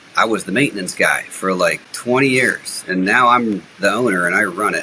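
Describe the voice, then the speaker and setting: At a moderate pace, a man talks while noticeable noise fills the background. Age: 50s. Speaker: real estate investor. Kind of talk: podcast interview. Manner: conversational, with frequent fillers and restarts.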